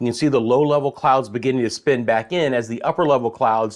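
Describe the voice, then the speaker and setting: Here is a man with an American accent and an unremarkable speaking voice. His medium pitch shows ordinary variation over a quiet background. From Central Florida. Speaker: meteorologist. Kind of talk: weather forecast livestream. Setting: live stream. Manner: casual, conversational.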